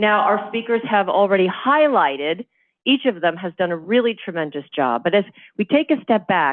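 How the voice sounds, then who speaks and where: With very wide pitch swings, a woman speaks at medium pitch. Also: moderate pace. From Cuban-American community. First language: Spanish. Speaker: panel moderator. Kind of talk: panel discussion. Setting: event with in-person and Zoom audience.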